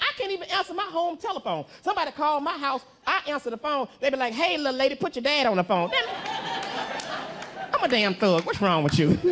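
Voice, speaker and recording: An extremely high-pitched man with an American accent, fairly quick pace, very wide pitch swings and hardly any pauses, with crowd noise in the background. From Southern US. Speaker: comedian. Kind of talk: stand-up comedy set. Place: stage. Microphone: handheld.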